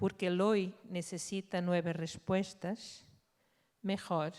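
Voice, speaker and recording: Speaking very slowly, a woman with a Portuguese accent holds a medium pitch. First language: Portuguese (speaking Spanish). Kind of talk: conference talk.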